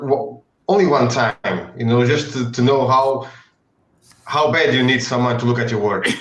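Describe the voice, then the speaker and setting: A man at medium pitch speaks with a non-native accent at a moderate pace. Long, frequent pauses are heard amid audible room echo. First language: not English. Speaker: comic book artist. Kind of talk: casual chat. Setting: live stream. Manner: halting.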